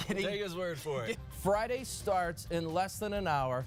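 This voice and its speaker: The speech is fairly slow with lively intonation. Music plays in the background. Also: man, high pitch for a man. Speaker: TV news anchor and reporter. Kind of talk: TV news anchor read. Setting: studio. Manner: conversational.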